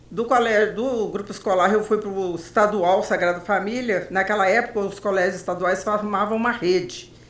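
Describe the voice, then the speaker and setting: Over noticeable background noise, a woman of medium pitch speaks at a moderate pace with hardly any pauses and fairly even intonation. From Brazil, Belo Horizonte, Minas Gerais. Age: 70s. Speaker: journalist. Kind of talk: interview.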